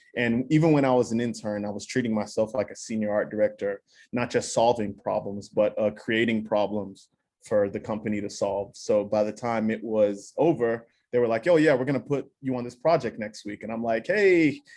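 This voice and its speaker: Ordinary pitch variation shapes the medium-pitched voice of a man as he talks. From Texas (born in Nigeria). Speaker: creative director in advertising. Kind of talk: panel talk.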